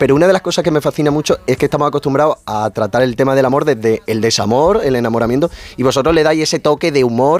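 A man talks at a fast pace with few pauses and a medium pitch. His tone is slightly mellow, with ordinary pitch variation.

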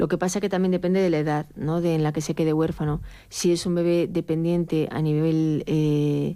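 A woman speaks at a moderate pace with little pitch movement. Her voice is low, with a dark, mellow tone.

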